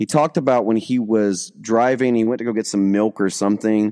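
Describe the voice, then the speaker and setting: A Southern US accent with ordinary pitch variation, against a quiet background. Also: man. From US South (Alabama). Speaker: pastor. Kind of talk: testimony. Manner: halting.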